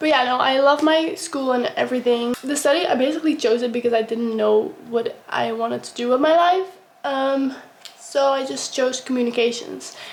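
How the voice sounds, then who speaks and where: A woman talks at a moderate pace in a high voice with a Dutch accent and ordinary pitch variation. Noticeable background noise runs underneath. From Netherlands. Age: young. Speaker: vlogger, college student. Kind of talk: casual get-ready-with-me vlog. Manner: casual, with many fillers.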